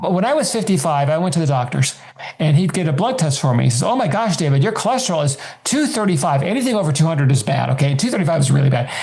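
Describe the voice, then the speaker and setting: Talking very fast at very even loudness, a man with a fairly high voice swings his pitch very widely amid noticeable background noise and audible room echo. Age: 70s. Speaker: author and personal finance guest. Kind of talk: interview.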